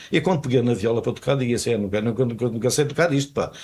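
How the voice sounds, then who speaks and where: A man's somewhat breathy, medium-pitched voice with a dark, mellow tone. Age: 80s+. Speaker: retired telecom technician and fado singer. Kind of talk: casual interview. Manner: halting, repeats words.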